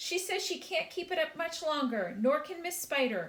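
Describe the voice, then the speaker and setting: A woman shouts loudly in a put-on character voice, extremely high and squeaky. She keeps a moderate pace with slight echo. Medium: read story. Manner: loud, shouting.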